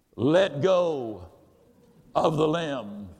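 A man uses a put-on character voice. His pitch sits fairly high.

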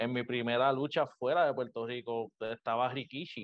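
In a flat, monotone delivery, a man talks at medium pitch. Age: 20s. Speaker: professional wrestler. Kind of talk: interview. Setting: video call.

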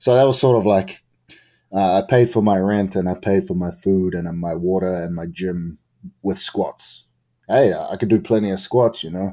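In a New Zealand accent, a man with a dark, mellow tone and fairly low pitch speaks at a moderate pace with ordinary pitch variation, on a very clean recording with a silent background. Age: 20s. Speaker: pro wrestler. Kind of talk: interview.

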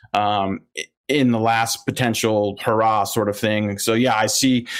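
With an American accent, a man talks at a medium pitch with fairly even intonation. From Philadelphia area, US. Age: 30s. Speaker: sports betting analyst. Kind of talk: casual interview.

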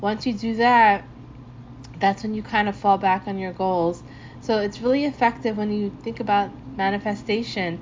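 A woman talks with a warm, upbeat tone at medium pitch. Her voice is somewhat breathy, her pace moderate and her pitch variation ordinary. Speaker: podcast host. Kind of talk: radio DJ patter: upbeat, slangy intros between reggae tracks. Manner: laid-back and friendly; warm, upbeat, casual.

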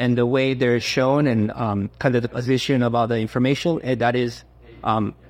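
Medium in pitch and moderate in pace, a man delivers fairly even intonation in a plain, everyday voice. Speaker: car company engineer. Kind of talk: interview.

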